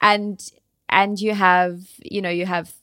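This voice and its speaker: A woman speaks with an Australian accent on a very clean recording with a silent background. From Tasmania, Australia. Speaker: travel blogger and entrepreneur. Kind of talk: interview.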